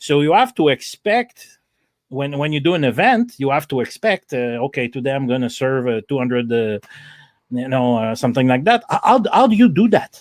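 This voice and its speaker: A man's fairly high-pitched voice with a French Canadian accent, lively intonation and a moderate pace, in a dry, close sound with no echo. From Canada. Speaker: podcast host, donut truck owner. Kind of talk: interview. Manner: halting.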